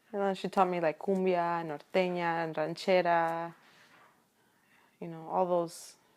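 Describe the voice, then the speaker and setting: In a very clean recording with a silent background, a woman with a Spanish accent speaks fairly slowly at a fairly low pitch, monotone and flat, with long, frequent pauses. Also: big swings in loudness. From Chicago area, Illinois, of Mexican parents. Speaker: interviewee. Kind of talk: casual interview chat.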